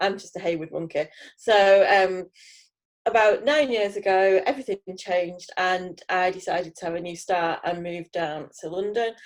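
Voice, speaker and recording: A woman with a northern English accent speaks with ordinary pitch variation and big swings in loudness. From northern England, Heywood near Manchester. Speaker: teacher, cross stitch hobbyist. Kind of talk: casual interview.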